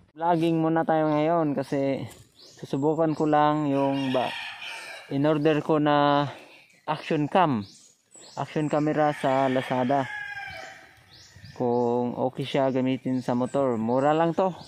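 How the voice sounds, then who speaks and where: The speaker goes at a very slow pace with long, frequent pauses, in a dry sound with no echo and light background noise. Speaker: motovlogger. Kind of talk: casual vlog chat. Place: motorbike. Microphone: phone near.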